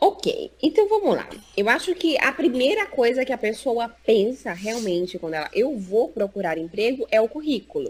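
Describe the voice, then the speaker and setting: Over noticeable background noise, a woman speaks at a high pitch and a moderate pace. Her pitch swings very widely, and there are hardly any pauses. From Brazil, Recife (Northeast). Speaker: psychologist and job market specialist. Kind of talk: interview in a live stream. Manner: animated.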